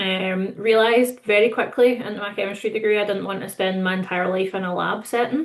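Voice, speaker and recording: In a Scottish accent, a woman talks at a fairly quick pace with hardly any pauses, a medium pitch and fairly even intonation. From Scotland. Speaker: distillery manager. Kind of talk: webinar panel self-introduction.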